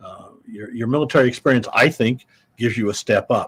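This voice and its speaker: A man speaks with an American accent at a moderate pace. His voice is somewhat breathy, medium in pitch, with ordinary pitch variation. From US Midwest, Iowa. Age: 70s. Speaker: war veteran and business executive. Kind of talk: podcast interview. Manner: hesitant with fillers and repetitions.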